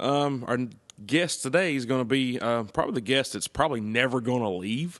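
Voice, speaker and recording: Against a quiet background, a man with a Tennessee accent talks at a fairly quick pace with ordinary pitch variation. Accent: Southern US (Tennessee). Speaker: podcast host. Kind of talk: casual chat.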